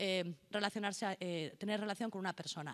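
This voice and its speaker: A woman speaks at a fairly quick pace. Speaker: notary, conference speaker. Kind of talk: conference lecture. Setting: conference hall with interpreters. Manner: fast.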